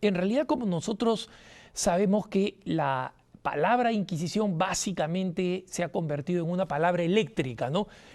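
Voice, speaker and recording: In an animated tone with lively intonation, a man with a high voice talks at a moderate pace, keeping his loudness very even. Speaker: TV host. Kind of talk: TV talk show monologue.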